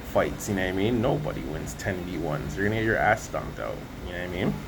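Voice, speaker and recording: A man speaks at a fairly low pitch. Audible room echo and noticeable background noise surround him. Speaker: religious vlogger. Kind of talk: casual religious monologue. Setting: outdoors on hotel balcony. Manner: casual, slangy; held back, not projecting.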